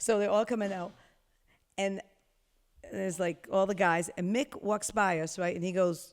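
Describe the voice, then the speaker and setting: Woman with an animated tone, medium pitch, moderate pace and long, frequent pauses. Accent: American. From Rhode Island, US. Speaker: music studio executive. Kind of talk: casual chat. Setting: podcast.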